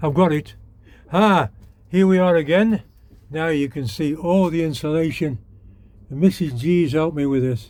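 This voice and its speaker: A man speaks with a British accent in a fairly high voice. He leaves long, frequent pauses. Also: ordinary pitch variation, moderate pace. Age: 80s+. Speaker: DIY vlogger. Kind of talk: casual vlog narration. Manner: relaxed, conversational.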